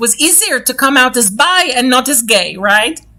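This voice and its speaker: Raising and projecting her high voice, a woman speaks at a fairly quick pace with lively intonation. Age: 60s. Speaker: talk show host. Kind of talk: interview. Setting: livestream.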